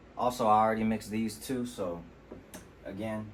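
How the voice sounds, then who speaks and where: A man talks at a fairly quick pace in a relaxed tone, with audible room echo around him. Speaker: rapper and home sound engineer. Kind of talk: tutorial. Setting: home studio. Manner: casual, relaxed.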